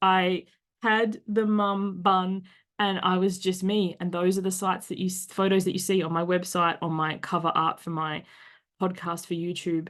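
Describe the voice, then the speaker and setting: At a moderate pace, a woman with an Australian accent speaks at medium pitch against a quiet background. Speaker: podcast host. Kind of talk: casual chat. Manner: animated.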